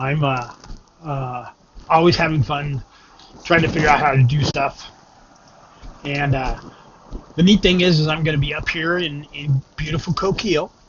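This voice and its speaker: Noticeable background noise accompanies a man whose fairly high voice keeps a fairly even intonation. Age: 60s. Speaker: vlogger. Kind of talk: casual vlog monologue. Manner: halting, many fillers.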